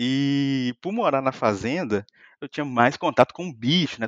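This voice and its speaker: A man speaks in a plain, everyday voice with lively intonation. The sound is dry and close with no echo, over a quiet background. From Brazil, Minas Gerais (Muriaé). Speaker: software engineer and YouTuber. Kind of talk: casual chat.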